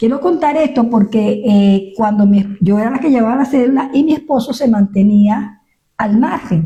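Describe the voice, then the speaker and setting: Her tone is dark and mellow, with high pitch and ordinary variation. The woman keeps a moderate pace. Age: 70s. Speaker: pastor. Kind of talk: testimony. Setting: radio studio interview.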